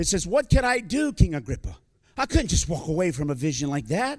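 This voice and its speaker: A man with an American accent makes very wide pitch swings. The recording is very clean, with a silent background. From US. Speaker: visiting preacher. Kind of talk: sermon. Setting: church.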